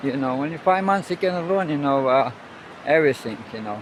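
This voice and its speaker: Noticeable background noise runs under the speech. The pace is fairly quick, with ordinary pitch variation. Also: man. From Russia. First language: Russian. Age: 70s. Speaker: sailor and travel vlogger. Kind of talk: casual vlog monologue. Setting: outdoors on a beach. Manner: halting, many fillers.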